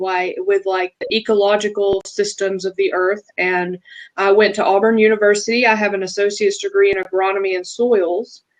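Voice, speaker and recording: A woman with a Southern accent speaks at a moderate pace, her medium-pitched voice held in a flat monotone. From US South (Alabama). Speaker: feng shui practitioner. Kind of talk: casual interview chat.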